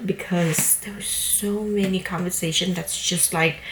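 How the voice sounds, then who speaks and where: Over noticeable background noise, a woman talks in a fairly low voice with fairly even intonation. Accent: non-native. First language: not English. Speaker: book vlogger. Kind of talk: casual vlog talk. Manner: hesitant, many fillers.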